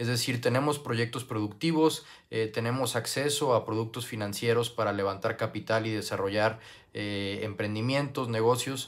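A man speaks at a moderate pace and a medium pitch with fairly even intonation. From Mexico, Guadalajara, Jalisco. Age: 20s. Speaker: youth parliament applicant. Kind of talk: application video monologue. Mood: earnest, calm. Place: home room. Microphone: earbuds.

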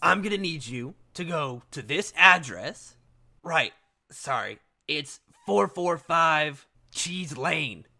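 A man does a put-on character voice, raspy and fairly high-pitched, at a very slow pace. The recording is very clean, with a silent background. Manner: brisk, impatient, commanding.

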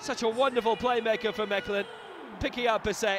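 Over noticeable background noise, a high-pitched man speaks at a moderate pace in a monotone, flat intonation. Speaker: football commentator. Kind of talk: live football commentary over match highlights. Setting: studio voiceover over recorded match footage. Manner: punchy, rising intensity on goals.

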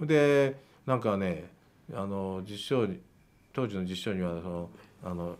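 Using lively intonation, a man talks fairly slowly at a fairly low pitch, with long, frequent pauses. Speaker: politician. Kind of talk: casual interview chat. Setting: studio. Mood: relaxed, chatty. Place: studio. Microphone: podium.

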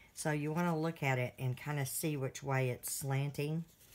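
A woman's very deep, low voice with fairly even intonation, over noticeable background noise. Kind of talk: tutorial.

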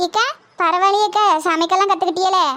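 A woman does a cartoonish character voice at an extremely high pitch. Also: moderate pace. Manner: lively, plain-spoken.

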